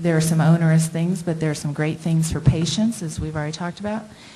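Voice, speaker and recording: A woman's fairly low, monotone voice with an American accent, flat in intonation, with audible room echo and noticeable background noise. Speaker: internal medicine doctor. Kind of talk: presentation with slides. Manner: hesitant, many fillers.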